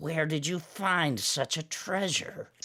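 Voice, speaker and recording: Using a put-on character voice, a man speaks croaky and raspy at a fairly high pitch and a fairly slow pace. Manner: greedy, fascinated.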